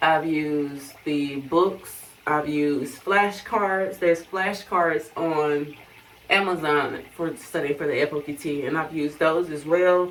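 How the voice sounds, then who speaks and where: A woman's very deep, low voice at a fairly slow pace, with noticeable background noise. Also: fairly even intonation. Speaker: vlogger and Air Force officer applicant. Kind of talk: casual vlog.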